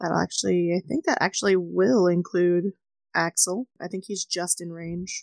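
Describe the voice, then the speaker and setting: In an unremarkable speaking voice, a woman talks with a fairly low pitch and fairly even intonation at a moderate pace, her loudness swinging widely in a dry, close sound with no echo. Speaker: tabletop player. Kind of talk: tabletop roleplaying game session.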